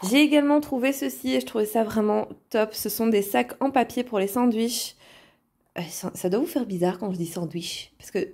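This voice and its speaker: Over a very clean recording with a silent background, a woman speaks at a fairly slow pace. Her fairly high pitch moves in very wide swings. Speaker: vlogger. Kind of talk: shopping haul vlog. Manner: casual, with frequent hesitations.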